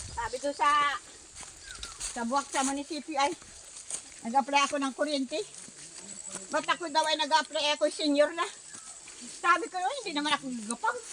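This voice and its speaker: Noticeable background noise sits behind a woman's high-pitched voice with ordinary pitch variation. She moves at a fairly quick pace yet leaves long, frequent pauses. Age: 70s. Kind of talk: interview answer.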